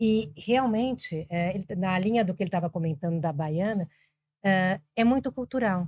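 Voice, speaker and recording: A woman speaks at a moderate pace with a fairly low pitch. Her dark, mellow tone is somewhat breathy. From Brazil, Argentine family, also raised in Colombia. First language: Spanish (speaking Portuguese). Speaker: business executive. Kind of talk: podcast interview.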